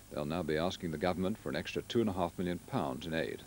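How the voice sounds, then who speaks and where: Light background noise accompanies a man who talks fairly quickly. The sound is dry, without any echo. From England. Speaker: television newsreader. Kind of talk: 1980s TV news bulletin, scripted news reading. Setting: studio. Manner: formal, measured, crisp and steady; brisk, neutral, authoritative delivery. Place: studio.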